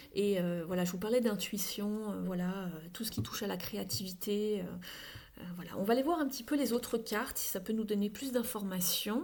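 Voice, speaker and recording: A woman speaks with a somewhat breathy voice and ordinary pitch variation, with audible room echo around her. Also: medium pitch for a woman, moderate pace. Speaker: tarot card reader. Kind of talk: tarot reading. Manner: halting.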